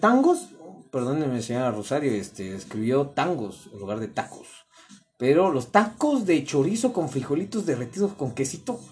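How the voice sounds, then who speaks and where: A man's animated, fairly slow delivery, with very wide pitch swings and big swings in loudness. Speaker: podcast host. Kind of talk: casual chat.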